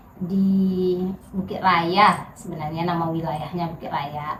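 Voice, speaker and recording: Speech comes very slowly with monotone, flat intonation. Noticeable background noise and audible room echo fill the recording. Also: woman. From Riau, Indonesia (Pekanbaru area). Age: 30s. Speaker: political candidate. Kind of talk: interview. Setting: at her home. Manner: casual, conversational.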